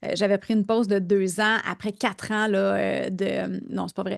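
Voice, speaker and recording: A woman speaks at a medium pitch in a Quebec accent. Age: 40s. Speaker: business coach and podcast host. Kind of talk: casual interview. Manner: hesitant, many fillers.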